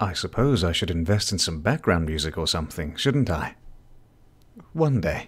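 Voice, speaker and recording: Somewhat breathy man with a British accent, very deep, low pitch and lively intonation, a moderate pace and long, frequent pauses. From Britain. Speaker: live streamer. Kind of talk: casual chat. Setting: live stream.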